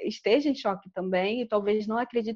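A woman with a plain, everyday voice speaks at a fairly high pitch with fairly even intonation. The background is quiet. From Angola. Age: 20s. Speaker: fashion designer and researcher. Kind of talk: podcast interview.

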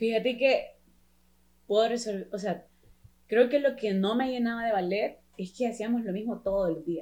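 A woman has a fairly high pitch and a dark, mellow tone with ordinary pitch variation. She leaves long, frequent pauses. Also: moderate pace. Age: 20s. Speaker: professional dancer and dance teacher. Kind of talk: casual chat.

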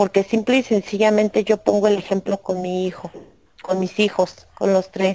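A woman's medium-pitched voice with a dark, mellow tone, moderate pace and monotone, flat intonation, in a dry, close sound with no echo. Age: 40s. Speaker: YouTube video creator, divorced mother. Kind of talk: interview testimony.

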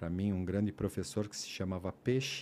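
At a moderate pace, a man speaks in a fairly low pitch. His is a plain, everyday voice. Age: 50s. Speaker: sports photographer. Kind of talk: casual interview chat. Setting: studio, live podcast.

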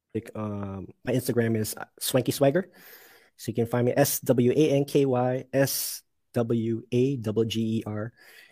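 A man speaks with a Canadian accent at a medium pitch. His intonation is fairly even, and music plays in the background. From Canada, Toronto area. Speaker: session horn player. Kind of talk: interview conversation. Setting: live stream.

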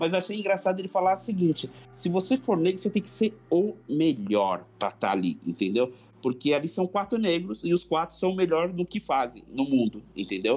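Speaking at a fairly quick pace, a man with a high pitch swings it very widely. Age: 40s. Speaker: church member and business administrator. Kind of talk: casual chat.

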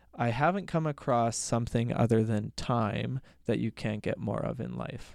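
A man speaks at a medium pitch and a moderate pace with ordinary pitch variation, in an unremarkable speaking voice. The sound is dry and close with no echo, on a very clean recording with a silent background. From Alberta, Canada. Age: 30s. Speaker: doctor and ultramarathon runner. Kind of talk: casual interview.

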